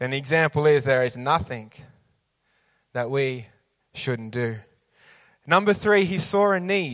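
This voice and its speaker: In a very clean recording with a silent background, a man with a fairly high pitch and lively intonation speaks at a fairly slow pace with long, frequent pauses. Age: 30s. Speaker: youth leader and preacher. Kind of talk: sermon.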